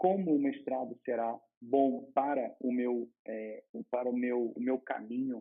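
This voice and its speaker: This man speaks with a Rio de Janeiro accent. His pitch sits in the medium range. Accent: carioca. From Rio de Janeiro, Brazil. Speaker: law master's student, vlogger. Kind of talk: advice vlog. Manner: casual, with hesitations and repetitions.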